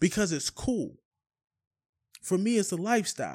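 In a very clean recording with a silent background, a man talks at a moderate pace in a high pitch with ordinary pitch variation. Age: 30s. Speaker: podcast host. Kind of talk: casual chat. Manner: animated.

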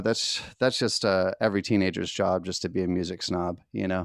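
With an American accent, a man talks at a moderate pace in a very clean recording with a silent background. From West Virginia. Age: 30s. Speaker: musician. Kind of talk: interview. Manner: halting.

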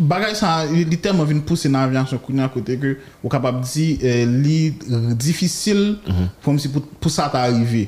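A man speaks very slowly at a fairly high pitch, with ordinary pitch variation. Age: 30s. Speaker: air traffic controller. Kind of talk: interview.

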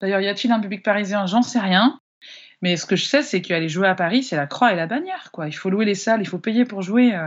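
A woman speaks fairly quickly in a normal speaking voice, at a medium pitch with ordinary pitch variation. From France, Annecy. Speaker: singer-songwriter. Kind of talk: interview.

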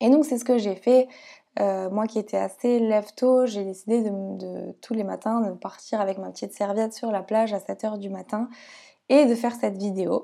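With a dark, mellow tone, a woman speaks in fairly even intonation. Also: fairly high pitch for a woman, moderate pace. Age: 20s. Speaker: yoga teacher and podcaster. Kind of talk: personal storytelling monologue. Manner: hesitant, many fillers.

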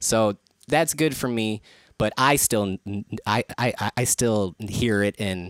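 In an Upper Midwest US accent, a man talks at a fairly low pitch with ordinary pitch variation, in a dry, close sound with no echo. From Saint Paul, Minnesota. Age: 30s. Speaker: rapper and producer. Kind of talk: casual chat. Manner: halting, stuttering.

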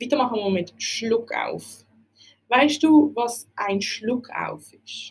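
The speaker talks at a very slow pace with a Basel-Land accent. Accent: Swiss German, Basel-Land dialect. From Switzerland, Basel-Land region. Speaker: language teacher podcaster. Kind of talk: educational podcast monologue.

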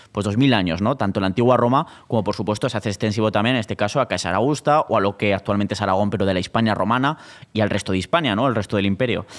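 A man at a very fast pace, with very even loudness and ordinary pitch variation. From Spain, Zaragoza. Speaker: podcast host. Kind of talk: casual chat. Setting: stage with audience.

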